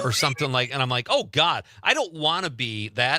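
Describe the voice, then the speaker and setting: A man with an American accent speaks at a fairly quick pace in a medium pitch, with ordinary pitch variation and an unremarkable speaking voice. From Chicago and Wisconsin.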